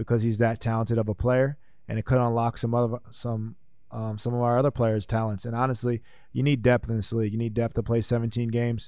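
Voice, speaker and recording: In an American accent, a man talks at a very fast pace with a dark, mellow tone, medium pitch and monotone, flat intonation. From New Jersey. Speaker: football player. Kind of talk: interview. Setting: in person.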